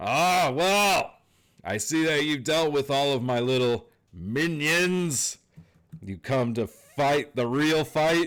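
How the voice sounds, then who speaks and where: A man's put-on character voice, raised and projected, with lively intonation at a very slow pace, on a very clean recording with a silent background. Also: fairly high pitch for a man. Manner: menacing, gloating.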